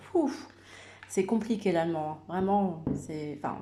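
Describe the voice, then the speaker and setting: A woman talks at a moderate pace in a fairly low voice. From Madagascar, Comoros and Réunion, raised in France. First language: Malagasy (speaking French). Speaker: YouTuber sharing personal faith story. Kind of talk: personal testimony. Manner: halting, many hesitations and repetitions.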